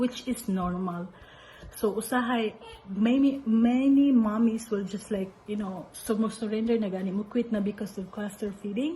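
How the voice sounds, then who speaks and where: Noticeable background noise behind a woman with a Filipino accent, her fairly high voice showing ordinary pitch variation. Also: moderate pace. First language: Cebuano. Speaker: mother sharing parenting tips. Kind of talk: casual advice talk. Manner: code-switching English and Cebuano.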